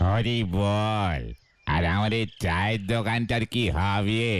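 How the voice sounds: A man talks in a cartoonish character voice at a fairly low pitch. His pace is fairly slow.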